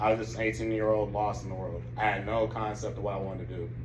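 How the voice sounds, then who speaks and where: Amid noticeable background noise and audible room echo, a man with an American accent and a fairly low pitch speaks at a very fast pace. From Grand Rapids, Michigan, later South Carolina. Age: 20s. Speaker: college student. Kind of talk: testimony.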